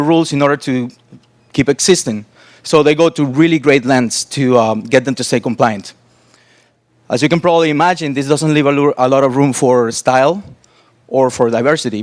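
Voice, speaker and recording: A man's fairly high voice with a Spanish accent, at a moderate pace and with ordinary pitch variation. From Cuba and Costa Rica. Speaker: interaction designer. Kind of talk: conference talk.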